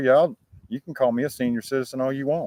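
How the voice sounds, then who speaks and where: A man with a plain, everyday voice speaks in a medium pitch with ordinary pitch variation. The sound is dry and close, with no echo. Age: 50s. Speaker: livestreamer chatting with viewers. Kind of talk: casual livestream chat. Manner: casual, informal.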